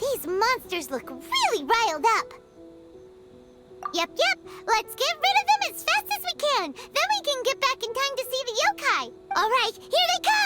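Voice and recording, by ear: A cartoonish character voice, squeaky and extremely high, speaks at a moderate pace. Loud music plays in the background.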